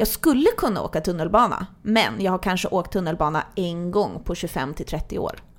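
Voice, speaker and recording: A woman with a normal speaking voice talks at a moderate pace and a medium pitch. Her intonation is lively, with hardly any pauses. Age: 20s. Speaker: podcast host. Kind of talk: casual chat.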